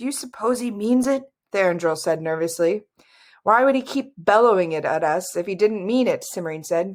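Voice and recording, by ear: Reading aloud in a natural voice, the speaker has lively intonation over a quiet background.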